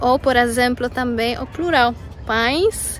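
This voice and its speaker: Someone with a Polish accent speaks fairly slowly with ordinary pitch variation over noticeable background noise. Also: woman. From Poland. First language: Polish (speaking Portuguese). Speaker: vlogger. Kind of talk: casual vlog. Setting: outdoors in a park. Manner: halting.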